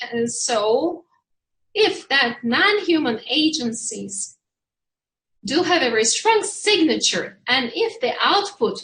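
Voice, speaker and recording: Very slow, high-pitched speech from a woman with a Turkish accent, bright and sharp in tone, with very wide pitch swings. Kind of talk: panel discussion. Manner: halting.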